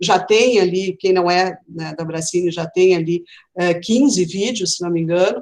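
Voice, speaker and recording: A woman's medium-pitched voice carries ordinary pitch variation as she talks at a moderate pace. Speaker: film critics' association leader. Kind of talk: live online panel talk. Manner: hesitant, many fillers.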